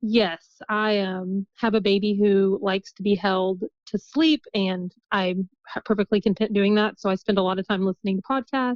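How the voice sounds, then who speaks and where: A woman at a moderate pace and medium pitch, with fairly even intonation and a Midwestern accent. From US Midwest, southern Indiana. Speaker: guest, mother sharing birth story. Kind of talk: podcast interview.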